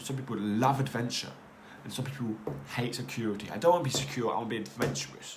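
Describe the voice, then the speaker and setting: A man races along at a very fast pace with medium pitch and lively intonation, and audible room echo surrounds him. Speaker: podcast host. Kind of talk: casual monologue. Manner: halting.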